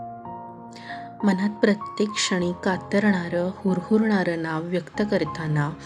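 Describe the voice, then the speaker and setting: A woman talks at a fairly low pitch. Music plays in the background. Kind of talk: audio story narration. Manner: soft-spoken, emotional.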